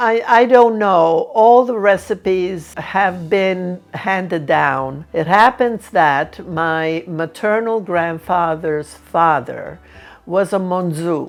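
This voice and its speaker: Very slowly, a woman speaks with an Italian accent. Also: medium pitch for a woman, ordinary pitch variation. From Sicily, Italy. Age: 80s+. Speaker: cooking channel host and cookbook author. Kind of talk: interview answering viewer questions.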